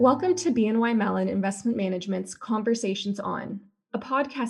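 Speaking at a moderate pace, a woman with a medium pitch shows vocal fry. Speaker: podcast announcer. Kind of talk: scripted narration.

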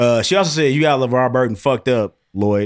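The speaker is a man with an American accent. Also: very clean recording, silent background. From Chicago area. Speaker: podcast co-host. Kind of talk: casual chat.

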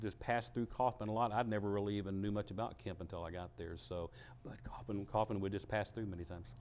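A man talks with a Texan accent at a fairly low pitch. His tone is dark and mellow. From Texas, Dallas area. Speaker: food pantry director and former minister. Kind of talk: interview.

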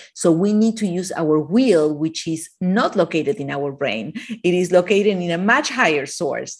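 A woman with an Argentinian accent, fairly low in pitch, with lively intonation. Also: moderate pace. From Argentina. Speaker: author of a plant-based cookbook. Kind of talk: interview about her book. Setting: video call, remote from Miami.

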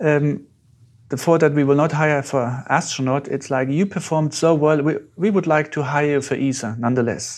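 Against a quiet background, a man with a German accent speaks at a moderate pace, fairly high in pitch, with ordinary pitch variation. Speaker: astronaut. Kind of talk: interview.

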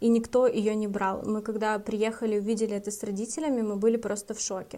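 A woman speaks at a moderate pace in a dark, mellow tone with flat, monotone intonation. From Russia, Karelia. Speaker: podcast co-host. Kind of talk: casual chat.

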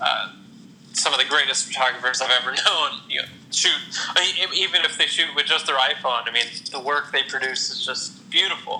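Over noticeable background noise, a man with an American accent talks at a fairly quick pace in a fairly high voice with ordinary pitch variation. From Ohio, Toledo area. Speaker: Instagram photographer. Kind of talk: interview. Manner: halting, with many repeated words and fillers.

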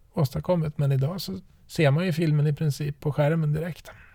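The tone is dark and mellow, somewhat breathy. Delivery moves at a fairly quick pace. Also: man. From western Sweden, Trollhättan. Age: 40s. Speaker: podcast host, father. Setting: in a parked car.

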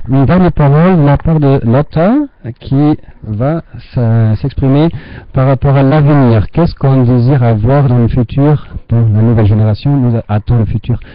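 At a moderate pace and a medium pitch, a man with a German accent speaks with very even loudness and ordinary pitch variation, leaving long, frequent pauses. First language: German (speaking French). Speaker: teacher. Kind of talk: moderating a video conference. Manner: halting.

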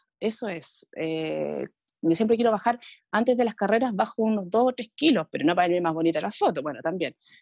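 With a Chilean accent, a woman talks fairly quickly in a medium pitch, her intonation lively. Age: 40s. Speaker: amateur triathlete. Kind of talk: casual interview.

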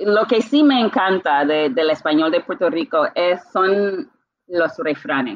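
At a very slow pace, a woman speaks at a medium pitch with very wide pitch swings. Her loudness stays very even. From Bermuda. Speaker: translator. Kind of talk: interview.

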